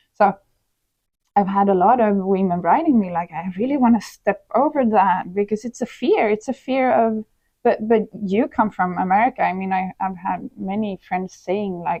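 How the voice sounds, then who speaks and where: This is a woman with a Swedish accent. Her pitch sits in the medium range. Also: ordinary pitch variation, moderate pace. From Sweden. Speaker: personal development influencer. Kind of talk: podcast interview.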